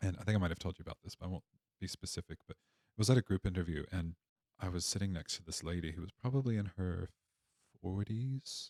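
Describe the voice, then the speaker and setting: With an American accent, a man talks at a very fast pace in a very deep, low pitch and a dark, mellow tone, his pitch varying in an ordinary way, in a dry, close sound with no echo. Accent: American, noticeable to Australians. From Appalachia, Virginia, USA. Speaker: podcast guest. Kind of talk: casual interview storytelling. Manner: conversational with hesitations and restarts.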